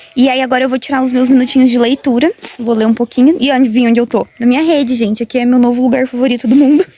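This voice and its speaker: Noticeable background noise accompanies a woman speaking at a very fast pace in a high pitch. Her intonation is fairly even, and the sound is dry and close with no echo. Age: 20s. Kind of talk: casual vlog talk to camera.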